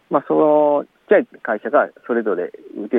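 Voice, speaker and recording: A man talks at a moderate pace. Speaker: farmer and author. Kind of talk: casual interview. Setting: outdoors in a plum orchard.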